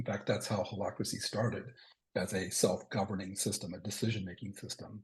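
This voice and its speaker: The voice is somewhat breathy and moves at a moderate pace. Its intonation is monotone and flat. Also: man. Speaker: organizational consultant presenter. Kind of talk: presentation with slides. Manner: many filler words.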